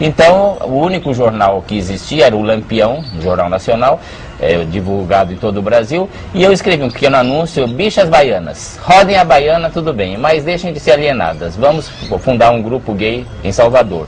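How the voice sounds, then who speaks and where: Amid noticeable background noise and audible room echo, a man of medium pitch speaks at a moderate pace with very wide pitch swings. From Brazil, São Paulo. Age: 60s. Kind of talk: interview.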